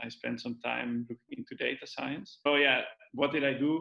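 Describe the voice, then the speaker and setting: A man talks at a moderate pace. He has a Dutch accent. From Netherlands. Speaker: data science trainee, physics PhD. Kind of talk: casual interview. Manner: halting.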